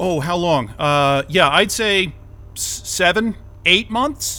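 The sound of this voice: A man does a put-on character voice, high-pitched and bright, sharp in tone. He speaks slowly with lively intonation.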